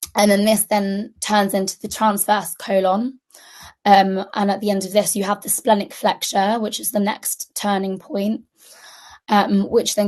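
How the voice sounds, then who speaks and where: A woman with a British accent speaks at a moderate pace and medium pitch in monotone, flat intonation. Her loudness swings widely against a quiet background. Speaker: junior doctor teaching medical students. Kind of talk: lecture. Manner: hesitant with many fillers.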